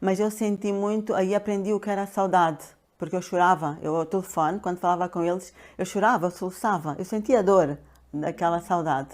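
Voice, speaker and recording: A woman at a medium pitch, fairly quick pace and ordinary pitch variation, in a very clean recording with a silent background. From Angola (Luanda). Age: 60s. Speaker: pharmacist and health coach. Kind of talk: interview. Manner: hesitant, many fillers.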